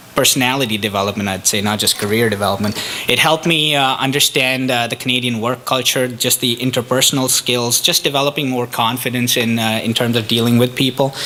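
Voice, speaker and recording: Over noticeable background noise, a man with an Indian accent talks very fast at medium pitch. His intonation is fairly even, with hardly any pauses. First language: Indian language. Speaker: economic development officer, immigrant speaker. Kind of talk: public talk. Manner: halting, many fillers.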